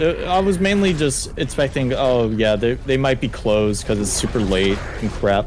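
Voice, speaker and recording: A man speaks at a moderate pace and medium pitch with very wide pitch swings, very even loudness and hardly any pauses, amid audible room echo and noticeable background noise. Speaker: gaming streamer. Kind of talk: casual chat.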